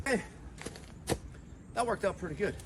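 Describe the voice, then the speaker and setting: A man talks loudly. Noticeable noise sits in the background. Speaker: home gardener vlogger. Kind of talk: casual vlog narration. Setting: outdoors in garden.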